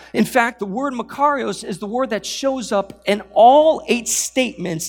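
A man with lively intonation. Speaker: pastor. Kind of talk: sermon. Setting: church.

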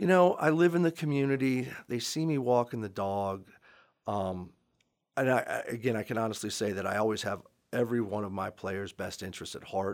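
At a fairly quick pace, a man with an unremarkable speaking voice talks at medium pitch with lively intonation on a very clean recording with a silent background. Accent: American. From Maryland, Montgomery County. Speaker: high school lacrosse coach and history teacher. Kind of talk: podcast interview.

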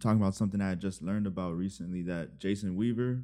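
A man speaks with ordinary pitch variation. His tone is dark and mellow. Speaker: podcast co-host. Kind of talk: casual banter.

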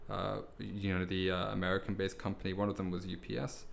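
This man's pitch sits fairly low. He speaks at a moderate pace. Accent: London. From southeast London, raised partly abroad (Netherlands, Indonesia, India). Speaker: English teacher and language school manager. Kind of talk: casual chat.

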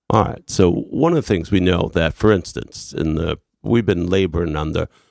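A man with a very deep, low pitch and vocal fry speaks at a moderate pace with lively intonation. The sound is dry and close with no echo, on a very clean recording with a silent background. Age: 60s. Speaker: literacy professor and education activist. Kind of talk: radio interview. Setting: radio studio.

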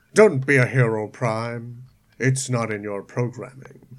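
In a put-on character voice, a man speaks at a fairly slow pace and a medium pitch. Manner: harassing, mocking.

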